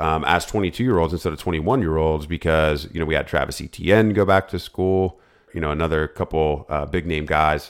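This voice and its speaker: A man with a very deep, low voice speaks very fast with ordinary pitch variation on a very clean recording with a silent background. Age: 30s. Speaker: fantasy football podcast host. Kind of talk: casual solo podcast talk.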